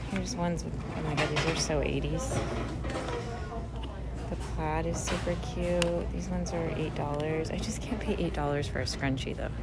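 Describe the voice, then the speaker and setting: Long, frequent pauses break up speech at a moderate pace, set against loud background noise. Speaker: shopper vlogger. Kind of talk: ASMR shopping walk-through, casual talk to camera. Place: shop. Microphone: phone near.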